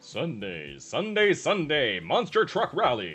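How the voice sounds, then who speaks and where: A man's put-on character voice, fairly high and fairly slow, with faint music in the background. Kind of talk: commercial announcer. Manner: loud, hyped, repetitive.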